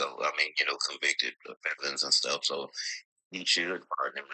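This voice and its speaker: With an American accent, a man talks at a moderate pace in a dry, close sound with no echo. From Georgia, US South. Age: 60s. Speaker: panel participant. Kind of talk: casual debate on live stream. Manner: halting, many fillers.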